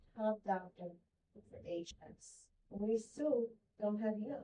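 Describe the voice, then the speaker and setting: This woman's voice has a dark, mellow tone and a fairly high pitch. It is somewhat breathy, with ordinary pitch variation. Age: 60s. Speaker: patient advocate. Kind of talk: support group sharing.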